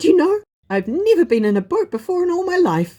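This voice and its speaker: Using a put-on character voice, the speaker goes at a fairly quick pace with an extremely high pitch and a timid tone. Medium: read story. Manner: timid, wondering.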